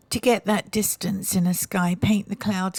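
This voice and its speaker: Somewhat breathy, the woman's voice stays monotone and flat. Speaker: painting tutor. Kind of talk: tutorial. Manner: hesitant, many ums.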